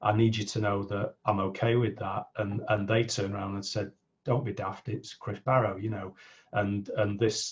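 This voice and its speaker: A man with a fairly low pitch, somewhat breathy, monotone and flat, at a moderate pace. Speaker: business coach. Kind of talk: interview.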